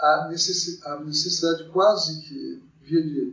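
This man speaks with ordinary pitch variation. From Brazil, São Paulo state (Mogi das Cruzes). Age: 50s. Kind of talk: interview. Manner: hesitant, many fillers.

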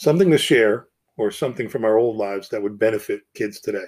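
With a plain, everyday voice and an American accent, a man speaks at a fairly quick pace and a medium pitch. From New Jersey, US. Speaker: podcast host. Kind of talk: personal monologue.

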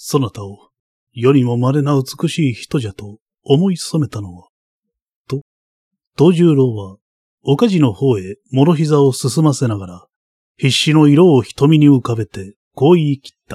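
Somewhat breathy and dark, mellow in tone, a man talks at a fairly slow pace in a fairly high pitch with lively intonation and big swings in loudness, the sound dry and close with no echo. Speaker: audiobook narrator. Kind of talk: audiobook narration of a literary novel, read aloud. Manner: measured, steady storytelling pace; dramatic, shifting from warm tenderness to icy tension in the tense scene.

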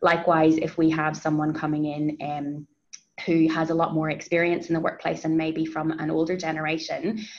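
A woman with a New Zealand accent speaks in a very deep, low voice. Her delivery is monotone and flat, at a fairly quick pace. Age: 30s. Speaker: HR advisor. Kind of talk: interview.

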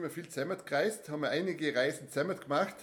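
This man speaks in a Vorarlberg accent at a very fast pace. His pitch is fairly high and his intonation fairly even. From Austria, Vorarlberg (Bregenz area). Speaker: travel podcast host. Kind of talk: casual chat.

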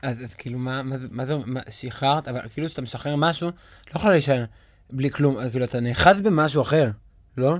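This is an ordinary speaking voice with ordinary pitch variation at a fairly quick pace. Its loudness swings widely. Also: man, medium pitch for a man. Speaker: podcast host and actor. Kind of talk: casual chat. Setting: recording studio.

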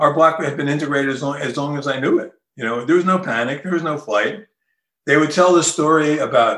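This man talks at a fairly quick clip, his fairly high voice carrying a bright, sharp tone. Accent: New Jersey. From Newark, New Jersey. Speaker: author. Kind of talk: interview.

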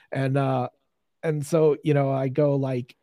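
A man with an American accent speaks in a dark, mellow tone, with a dry, close sound and no echo. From Pittsburgh, US. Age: 50s. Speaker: YouTube horror host. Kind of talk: casual interview.

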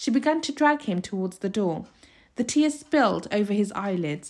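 The text is read aloud plainly, and the intonation is lively.

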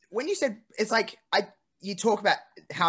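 Bright and sharp in tone, this voice with an Australian accent moves with lively intonation over a quiet background. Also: man. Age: 20s. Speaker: podcast host. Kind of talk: casual chat.

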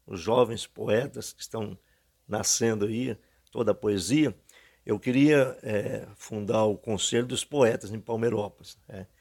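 On a very clean recording with a silent background, the speaker goes at a fairly slow pace with big swings in loudness, fairly even intonation, and long, frequent pauses. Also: man. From Minas Gerais, Brazil. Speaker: local poet. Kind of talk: interview. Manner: halting.

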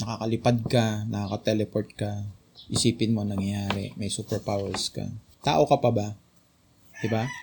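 Fairly low-pitched male speech at a moderate pace, fairly even in intonation, broken by long, frequent pauses, with noticeable background noise. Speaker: Bible study leader. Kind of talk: Bible study teaching.

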